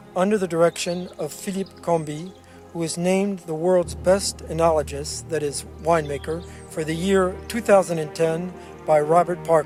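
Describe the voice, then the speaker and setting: Over music in the background, a man with a high voice talks at a moderate pace with fairly even intonation. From Virginia, USA. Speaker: monk and vineyard worker. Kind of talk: corporate narration.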